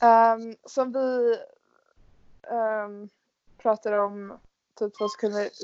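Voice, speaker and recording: Speaking at a very slow pace, the woman uses a fairly high pitch and fairly even intonation. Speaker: podcast host, exchange student. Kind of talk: casual chat.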